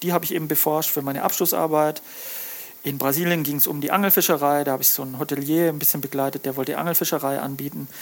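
A man speaks over noticeable background noise. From Lake Constance region, southern Germany. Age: 40s. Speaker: fisheries scientist and fish smoker, author. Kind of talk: casual interview chat.

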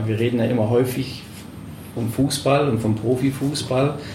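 Against noticeable background noise and audible room echo, a man speaks at a moderate pace and medium pitch with fairly even intonation. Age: 40s. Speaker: professor and club advisory board member. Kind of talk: interview. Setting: club office.

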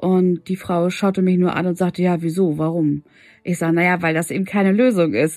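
The recording is very clean with a silent background as a woman talks at a fairly quick pace. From Hannover, northern Germany. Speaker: podcast host, women's coach. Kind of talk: personal monologue, storytelling. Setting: home, at night. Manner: hesitant, many filler words.

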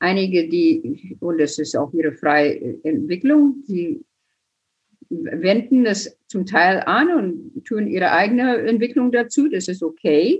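The speech is somewhat breathy and very slow. Its pitch swings very widely. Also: woman, medium pitch for a woman. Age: 70s. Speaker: quilting teacher and author. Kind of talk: interview.

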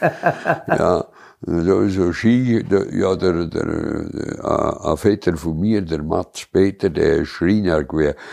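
A man speaks with a strong Allgäu accent and ordinary pitch variation. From Allgäu, Bavaria. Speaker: local elder sharing childhood memories. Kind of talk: casual reminiscing chat. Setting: cozy living room by a tiled stove.

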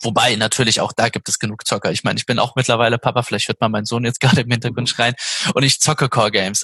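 A man with a bright, sharp tone at a very fast pace, the sound dry and close with no echo. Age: 30s. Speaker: games company project manager. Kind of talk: interview.

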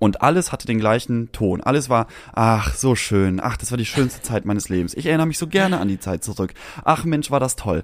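This man talks at a fairly quick pace in a medium-pitched voice with very wide pitch swings. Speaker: podcast co-host. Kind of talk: casual chat. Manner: prim, proper-sounding.

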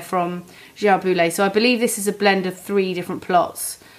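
A woman speaks at a medium pitch in a British accent. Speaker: podcast host, wine trade professional. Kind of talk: casual chat about wine.

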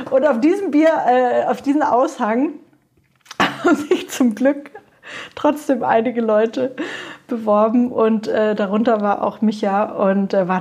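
This woman talks at a fairly slow pace with ordinary pitch variation. It is an unremarkable speaking voice. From Franconia, Germany. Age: 30s. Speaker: brewery co-founder and restaurateur. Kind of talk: interview conversation.

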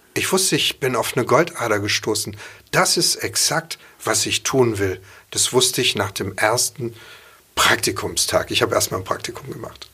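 A man's bright, sharp voice at a medium pitch, with lively intonation at a moderate pace. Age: 50s. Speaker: chef and cookbook author. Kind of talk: casual interview. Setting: studio.

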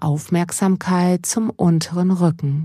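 A dark, mellow, calm and soothing tone comes through, somewhat breathy, at a very slow pace. The recording is very clean with a silent background. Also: woman. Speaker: mindfulness coach. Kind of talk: guided meditation. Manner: slow, calm and soothing, with long pauses; soft-spoken, gentle, unhurried.

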